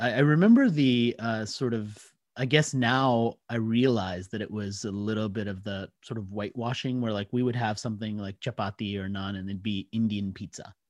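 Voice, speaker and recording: A man has an ordinary speaking voice at a medium pitch. He keeps a moderate pace with hardly any pauses. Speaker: author and marketing speaker. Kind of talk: interview conversation.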